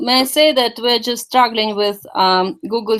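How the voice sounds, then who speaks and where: The speaker has a Russian accent. Delivery comes at a moderate pace with lively intonation. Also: woman. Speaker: meeting organizer and interpreter. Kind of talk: online meeting with interpreting. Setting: video call. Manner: halting.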